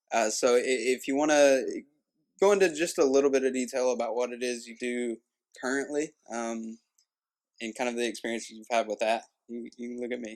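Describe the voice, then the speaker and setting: Speaking at a fairly quick pace with a Kentucky accent, a man at medium pitch shows ordinary pitch variation, big swings in loudness, and long, frequent pauses. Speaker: podcast host. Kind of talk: casual interview. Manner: hesitant, many fillers.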